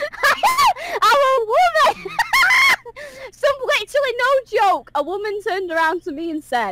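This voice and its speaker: A woman shouts at an extremely high pitch, her pitch swinging very widely. Her pace is fairly slow over noticeable background noise. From northern England, Manchester. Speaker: YouTuber and voice actor. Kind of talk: casual chat. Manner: loud at times.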